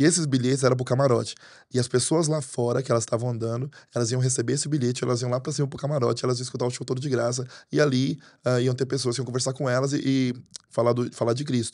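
A man talks at a very fast pace in a monotone, flat delivery. The background is quiet. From Portugal (Brazilian-born). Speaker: pastor. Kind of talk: interview conversation. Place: studio. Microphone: studio mic.

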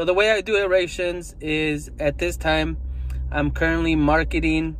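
The pace is fairly slow. The sound is dry, with no echo. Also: man. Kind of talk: casual vlog chat. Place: car. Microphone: phone near.

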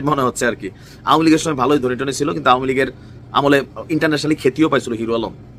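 A man talks in an ordinary speaking voice, fairly high in pitch, with ordinary pitch variation. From Bangladesh, Comilla. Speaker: political commentator. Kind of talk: political commentary video.

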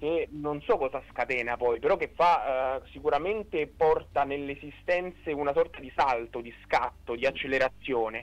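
Big swings in loudness from a man at a moderate pace, fairly high in pitch with ordinary pitch variation. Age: 20s. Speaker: philosophy student; interview guest. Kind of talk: radio interview testimony. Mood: calm, thoughtful. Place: studio. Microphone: studio mic.

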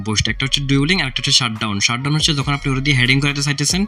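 A man talks with a fairly high pitch and ordinary pitch variation. Noticeable background noise runs behind him. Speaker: gaming YouTuber. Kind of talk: gaming tutorial. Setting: indoor room at night, hot.

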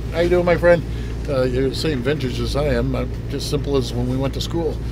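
A man speaks at a fairly quick pace in a dry sound with no echo, with noticeable background noise behind him. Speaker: politician at press scrum. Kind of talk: interview answer. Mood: earnest, reassuring. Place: waterside. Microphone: handheld.

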